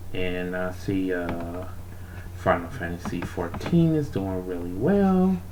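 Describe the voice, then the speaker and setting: Quiet speech at a very slow pace comes through noticeable background noise. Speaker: art streamer. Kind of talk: casual chat. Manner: quiet, kept down so others can sleep.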